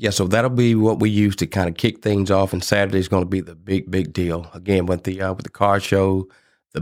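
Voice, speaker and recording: In a very clean recording with a silent background, a man with a Mississippi accent talks fairly quickly in a very deep, low voice. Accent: Mississippi Southern US. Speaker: barbecue competition organizer. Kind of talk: casual interview chat. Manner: passionate.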